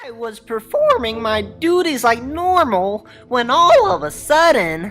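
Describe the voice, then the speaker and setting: Doing a cartoonish character voice, a woman talks at a fairly slow pace in a high pitch with very wide pitch swings. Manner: eager.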